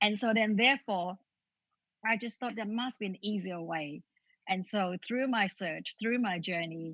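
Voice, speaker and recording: A woman speaks fairly slowly at a medium pitch with ordinary pitch variation. The sound is dry and close with no echo, against a quiet background. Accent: Vietnamese. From Vietnam. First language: Vietnamese. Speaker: author. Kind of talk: interview.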